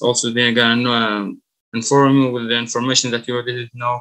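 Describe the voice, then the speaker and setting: Bright and sharp in tone, a man with an Arabic accent speaks at a medium pitch. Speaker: college student. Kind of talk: class presentation. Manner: halting, many fillers.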